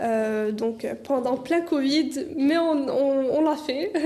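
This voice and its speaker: Noticeable background noise surrounds the recording. A woman speaks in a high pitch. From Canada. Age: 20s. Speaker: dental student and content creator. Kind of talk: interview. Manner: hesitant, many fillers.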